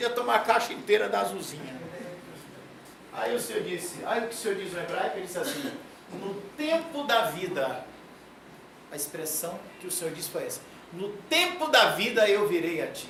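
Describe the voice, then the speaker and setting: Long, frequent pauses break up the speech. Noticeable background noise runs underneath. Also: moderate pace. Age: 60s. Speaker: professor. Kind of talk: lecture. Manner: animated.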